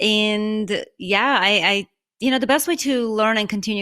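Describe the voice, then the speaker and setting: A woman's fairly high, bright, sharp voice with a non-native accent, in a very clean recording with a silent background. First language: not English. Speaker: podcast host. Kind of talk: interview.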